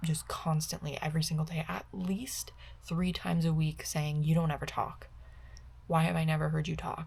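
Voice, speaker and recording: A soft-spoken woman talks at a moderate pace. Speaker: vlogger. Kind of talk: casual chat.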